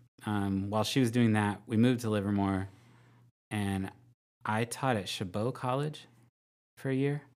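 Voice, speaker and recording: A man's fairly low voice in an American accent, fairly even in intonation and moderate in pace, with long, frequent pauses, on a very clean recording with a silent background. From Northern California. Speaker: high school math teacher. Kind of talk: casual chat.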